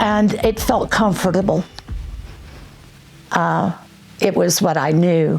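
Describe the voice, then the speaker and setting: A woman with a medium pitch talks at a very slow pace over noticeable background noise. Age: 70s. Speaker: church member giving testimony. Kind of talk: testimony. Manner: halting.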